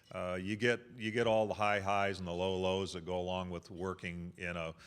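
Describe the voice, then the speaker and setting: A man speaks at a fairly quick pace in a very deep, low voice with fairly even intonation. The recording is very clean, with a silent background. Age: 60s. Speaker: college sports conference commissioner. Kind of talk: luncheon speech. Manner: halting, many fillers and repeats.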